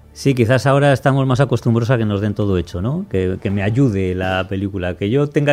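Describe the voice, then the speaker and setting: Music plays in the background as a man talks at a medium pitch with ordinary pitch variation and hardly any pauses. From Spain. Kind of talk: casual chat.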